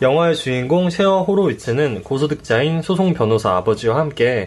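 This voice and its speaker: A man's fairly high, somewhat breathy voice at a fairly quick pace, with lively intonation. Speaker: podcast co-host. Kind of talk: casual chat; scripted narration. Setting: studio. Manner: giggly.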